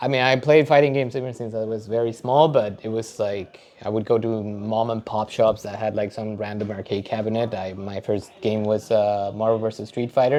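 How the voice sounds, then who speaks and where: A man with a Spanish accent at a medium pitch, fairly even intonation, a fairly quick pace and hardly any pauses, over noticeable background noise. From Mexico. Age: 30s. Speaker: data engineer and fighting game competitor. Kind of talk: casual interview. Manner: hesitant, many fillers.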